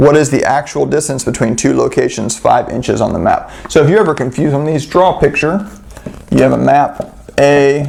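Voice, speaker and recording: The speech moves at a moderate pace while noticeable noise runs behind it. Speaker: math tutor. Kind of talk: tutorial. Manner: casual.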